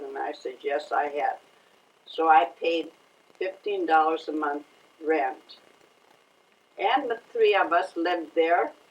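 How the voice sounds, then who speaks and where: Very slowly, a woman speaks, leaving long, frequent pauses. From Sweden. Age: old. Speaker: family matriarch. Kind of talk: family oral history interview answer.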